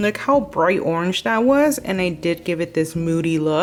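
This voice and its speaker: A woman's voice makes very wide pitch swings. Music sounds in the background. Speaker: lifestyle vlogger. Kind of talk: casual vlog narration. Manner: animated.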